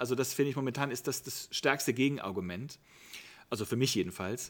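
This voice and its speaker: A man speaks at a very fast pace with a medium pitch. The recording is very clean, with a silent background. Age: 50s. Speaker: youth worker. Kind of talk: interview. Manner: hesitant fillers.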